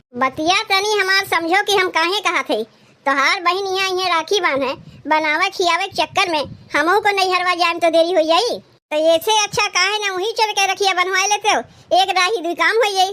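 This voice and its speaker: Using a cartoonish character voice, a woman speaks at a moderate pace with an extremely high pitch. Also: ordinary pitch variation. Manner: sharp, scolding.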